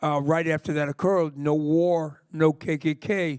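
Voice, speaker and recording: At a fairly slow pace, a man with an American accent and a fairly high pitch speaks with monotone, flat intonation. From US Northeast (New York area). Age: 60s. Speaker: punk singer. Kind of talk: interview. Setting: library stage with audience.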